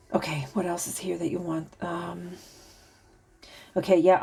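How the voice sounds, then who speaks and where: A woman speaks at a fairly quick pace with a fairly low pitch. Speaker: tarot reader and spiritual channeler. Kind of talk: oracle card reading. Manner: halting, stuttering at times.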